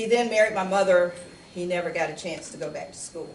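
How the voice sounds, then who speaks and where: At a fairly quick pace, a woman speaks at a medium pitch with ordinary pitch variation, amid noticeable background noise and audible room echo. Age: 60s. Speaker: lawyer and community speaker. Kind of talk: public talk and Q&A. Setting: church hall with audience.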